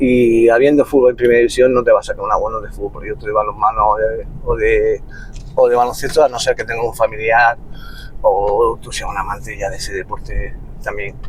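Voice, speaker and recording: A man speaks at a fairly quick pace with big swings in loudness. Noticeable background noise runs underneath. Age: 60s. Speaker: futsal coach. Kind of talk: casual interview. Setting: in a moving car.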